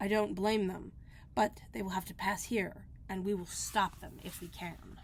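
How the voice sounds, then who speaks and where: Using a put-on, raspy character voice, a woman speaks at a moderate pace over clear background noise. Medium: read story.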